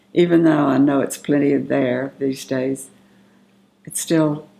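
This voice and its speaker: In a Southern US accent, a woman speaks at a very slow pace. Her pitch is very deep and low, and her intonation fairly even. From US South, Magnolia, Arkansas. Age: 70s. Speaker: family elder interviewee. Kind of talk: oral history interview. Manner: halting, with fillers.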